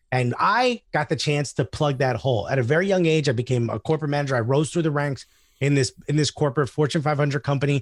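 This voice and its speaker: A somewhat breathy man speaks at a very fast pace, with a fairly high pitch, ordinary pitch variation and very even loudness. The sound is dry and close with no echo, on a very clean recording with a silent background. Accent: American. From US Northeast. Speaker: stand-up comedian. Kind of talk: casual chat. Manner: animated.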